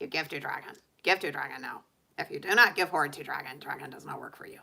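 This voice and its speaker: A put-on character voice, female-sounding, at a medium pitch for a woman and a very fast pace. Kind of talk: broken, third-person speech. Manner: demanding, gruff.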